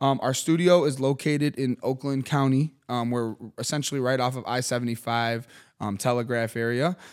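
An unremarkable speaking voice at a moderate pace, with fairly even intonation, in a very clean recording against a silent background. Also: man, medium pitch for a man. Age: 30s. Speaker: media company founder and podcast host. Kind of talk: casual chat. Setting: studio.

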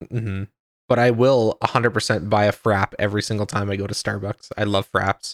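A normal speaking voice at a fairly quick pace, with fairly even intonation. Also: man, fairly low pitch for a man. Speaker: podcast host. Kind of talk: casual chat.

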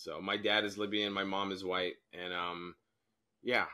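A man speaks fairly slowly with an American accent. His tone is bright and sharp, and the recording is very clean with a silent background. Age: 20s. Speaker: stand-up comedian. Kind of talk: casual chat.

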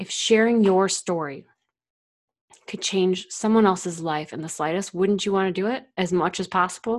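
Set against a silent background in a very clean recording, a woman uses a normal speaking voice at a medium pitch. She keeps a moderate pace and fairly even intonation. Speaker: podcast host and founder. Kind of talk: storytelling monologue, narrating a dramatic story. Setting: solo monologue to listeners.

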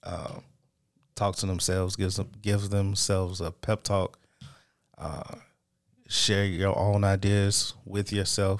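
Over a very clean recording with a silent background, a fairly low-pitched man talks at a moderate pace in a monotone, flat intonation, with long, frequent pauses. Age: 30s. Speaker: podcast host. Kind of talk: solo monologue, motivational talk. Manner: unscripted, halting with fillers.

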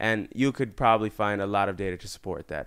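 On a very clean recording with a silent background, a man with an American accent speaks in a bright, sharp tone. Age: 20s. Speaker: YouTuber and entrepreneur. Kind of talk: casual interview.

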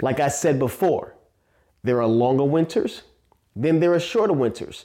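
With a New York accent, a man speaks in a dark, mellow tone with lively intonation, on a very clean recording with a silent background. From Staten Island, New York. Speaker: podcast host, motivational speaker. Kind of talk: motivational monologue.

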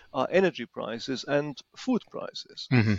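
Speaking with a German accent, a man uses a fairly high pitch, ordinary pitch variation and a moderate pace. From Germany. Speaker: former equity analyst. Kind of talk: casual chat.

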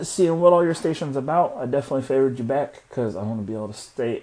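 A man speaks with lively intonation. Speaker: podcaster leaving a voice message. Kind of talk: voice message. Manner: sluggish; casual.

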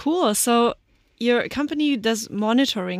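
On a very clean recording with a silent background, a woman with a German accent speaks at a moderate pace in a fairly high pitch with lively intonation. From Germany. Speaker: podcast host. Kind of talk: interview.

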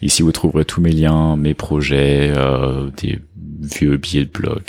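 Very slowly, a man talks in a very deep, low voice with fairly even intonation. Noticeable background noise is present. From France. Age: 30s. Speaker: software engineering manager. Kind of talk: casual chat.

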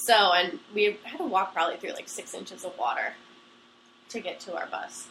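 A woman with an ordinary speaking voice, medium in pitch, with lively intonation and big swings in loudness. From Pennsylvania. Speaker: college student telling a personal story. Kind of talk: casual storytelling. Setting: recording on a couch at home. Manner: fast, run-on.

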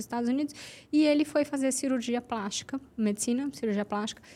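A woman's dark, mellow voice at a very fast pace, with ordinary pitch variation. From Santos, São Paulo state, Brazil. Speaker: journalist and social media marketing entrepreneur. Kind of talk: casual podcast conversation.

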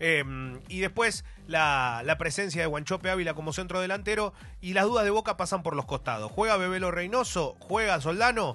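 Over music in the background, a man speaks with a high pitch and lively intonation. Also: moderate pace. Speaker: football journalist. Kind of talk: radio sports chat.

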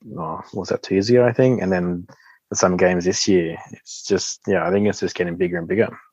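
A man with an Australian accent, very deep and low in pitch, at a fairly quick pace with fairly even intonation. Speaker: Paralympic sit skier. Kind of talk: interview.

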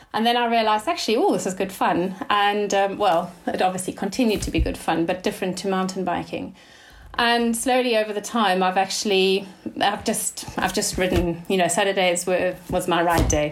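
A woman speaks at medium pitch amid noticeable background noise. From South Africa. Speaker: cyclist, racer.

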